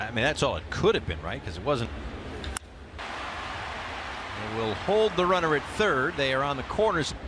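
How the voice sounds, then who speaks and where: A man with a fairly high voice speaks at a moderate pace. His pitch swings very widely, and there is noticeable background noise. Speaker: baseball play-by-play announcer. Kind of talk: live baseball play-by-play commentary, brisk pitch-by-pitch calls. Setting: broadcast booth.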